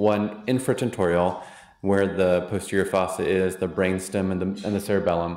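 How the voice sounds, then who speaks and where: Audible room echo surrounds this man's voice. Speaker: physician and immunotherapy program director. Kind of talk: lecture. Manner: fast.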